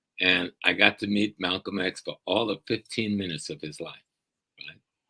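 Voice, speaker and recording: Recorded dry and close with no echo, a man with an American accent speaks at a moderate pace in a fairly low pitch and a bright, sharp tone. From South Carolina, Gullah Geechee. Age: 70s. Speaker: professor and community educator. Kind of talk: interview.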